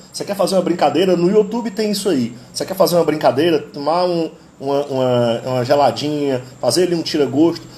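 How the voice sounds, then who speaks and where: A man at fairly high pitch, fairly quick pace with hardly any pauses, ordinary pitch variation, noticeable background noise. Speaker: live stream host, history teacher and amateur guitarist. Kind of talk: casual live stream talk about music. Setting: live stream.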